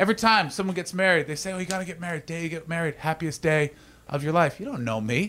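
A man with a Canadian accent, high-pitched, bright and sharp in tone, at a very fast pace, on a very clean recording with a silent background. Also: ordinary pitch variation. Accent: Canadian, mistaken for British. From Canada. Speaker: stand-up comedian. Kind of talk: stand-up. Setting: stage with audience.

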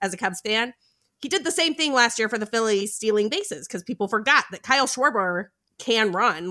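A woman speaks at a fairly quick pace with a bright, sharp tone and an American accent. Her pitch sits fairly high, and her intonation is lively. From US, spent time in Boston. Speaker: fantasy baseball analyst. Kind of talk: casual chat about fantasy baseball. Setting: remote recording, Friday night.

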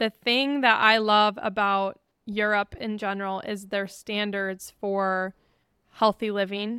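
In a very clean recording with a silent background and a dry, close sound with no echo, a woman speaks at a very slow pace with a bright, sharp tone, medium pitch and monotone, flat intonation. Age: 20s. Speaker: podcast host. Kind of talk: casual chat.

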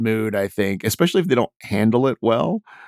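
This is an ordinary speaking voice with an American accent and lively intonation. The pace is fairly quick. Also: man. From Texas, Houston. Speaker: stand-up comedian. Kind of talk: interview.

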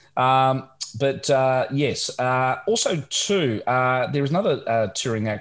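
A man speaks at a medium pitch and a fairly slow pace. His intonation is lively. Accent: Australian. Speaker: podcast co-host. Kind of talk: casual chat. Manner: halting, many fillers.

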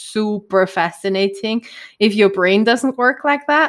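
Female speaker in a German accent. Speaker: podcast co-host. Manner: enthusiastic, chatty.

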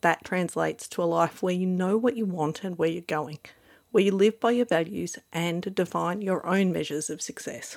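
At a moderate pace and medium pitch, a woman speaks with ordinary pitch variation in a very clean recording with a silent background. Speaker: life coach and podcast host. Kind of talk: scripted monologue. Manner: animated.

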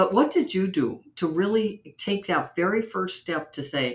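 With lively intonation, a woman speaks in an enthusiastic, warm tone. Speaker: podcast host. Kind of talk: interview conversation.

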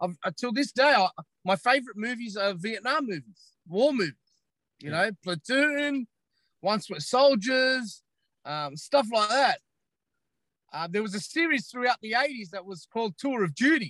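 In an Australian accent, a man talks in an animated tone with a high, bright, sharp voice, very wide pitch swings and a moderate pace, recorded dry and close with no echo. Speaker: social media commentator. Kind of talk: casual interview chat. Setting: in a parked car.

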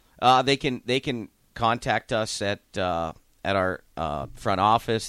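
An American man with an ordinary speaking voice talks at a fairly slow pace and fairly low pitch, with ordinary pitch variation, in a dry, close recording with no echo, very clean and with a silent background. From US Midwest (Youngstown, Ohio). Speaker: junior hockey head coach. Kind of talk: radio interview. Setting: radio studio.

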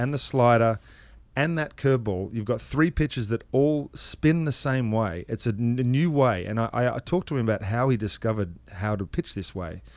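A man speaks at a moderate pace with an Australian accent, his medium pitch showing ordinary variation, on a very clean recording with a silent background. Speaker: former baseball player, fill-in radio guest. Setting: radio booth studio.

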